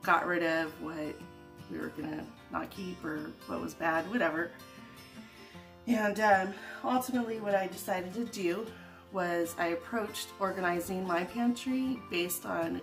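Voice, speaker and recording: A woman at a fairly slow pace, with long, frequent pauses, ordinary pitch variation and clear music in the background. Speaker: home organizing vlogger. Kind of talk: casual vlog chat.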